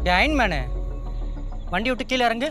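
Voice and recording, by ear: A man uses a put-on character voice at an extremely high pitch, bright and sharp in tone, with lively intonation. He keeps a moderate pace over faint background music.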